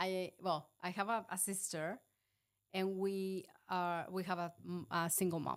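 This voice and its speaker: Her medium-pitched voice stays monotone and flat as the woman speaks fairly slowly with long, frequent pauses, on a very clean recording with a silent background. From Mexico. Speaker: film producer. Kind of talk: interview.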